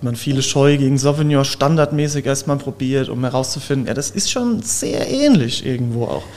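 With noticeable background noise behind him, a man speaks in a fairly high pitch with fairly even intonation. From Germany, Palatinate (Zellertal). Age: 20s. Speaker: winemaker. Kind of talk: casual interview.

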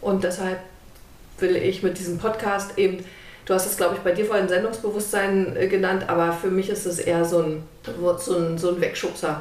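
Against noticeable background noise and audible room echo, a woman of medium pitch speaks at a moderate pace with monotone, flat intonation. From East Germany (GDR). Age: 50s. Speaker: podcast host, lawyer. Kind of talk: casual chat. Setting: sitting on a sofa at home.

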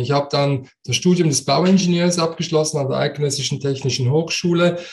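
A man's somewhat breathy voice with fairly high pitch and ordinary pitch variation. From Switzerland. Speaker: coach and speaker. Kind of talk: interview.

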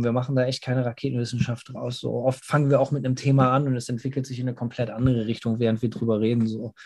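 Very fast and somewhat breathy, a man talks in a medium pitch with a dark, mellow tone and monotone, flat intonation against a quiet background. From Germany. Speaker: metal band singer. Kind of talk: interview. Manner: casual, with English interjections.

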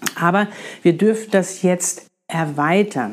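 A woman speaks in a fairly low pitch. Her pitch variation is ordinary. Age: 50s. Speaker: spiritual podcast host. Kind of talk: monologue, spiritual advice podcast. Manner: animated.

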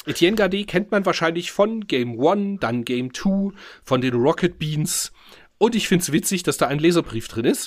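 In a very clean recording with a silent background, a man speaks at a high pitch with lively intonation. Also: moderate pace. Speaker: podcast host. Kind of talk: casual chat.

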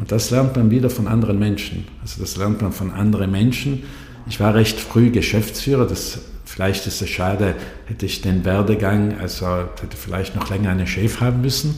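A fairly low-pitched man with audible room echo and noticeable background noise. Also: ordinary pitch variation, moderate pace. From South Tyrol, Brixen. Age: 60s. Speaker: energy association director. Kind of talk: interview. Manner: halting.

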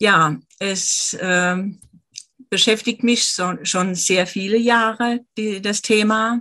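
Bright and sharp in tone, a woman's voice moves at a very slow pace. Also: medium pitch for a woman, ordinary pitch variation. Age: 50s. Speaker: author and finance professional. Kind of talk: interview.

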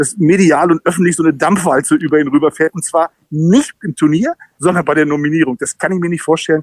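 A man's high-pitched voice at a fairly quick pace, with fairly even intonation and a dry, close sound with no echo. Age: 50s. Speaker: football commentator. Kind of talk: casual interview.

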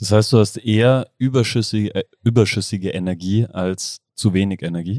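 A man's fairly low voice with a dark, mellow tone and ordinary pitch variation, hardly any pauses, in a dry, close sound with no echo. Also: moderate pace, very clean recording, silent background. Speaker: podcast host. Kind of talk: casual chat. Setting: restaurant.

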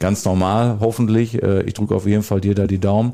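A man talks at a fairly quick pace in a dark, mellow tone. His pitch is fairly low and his intonation fairly even. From Westphalia, Germany (Soest district village). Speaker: mayor hosting local podcast. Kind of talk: casual chat. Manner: hesitant, many fillers.

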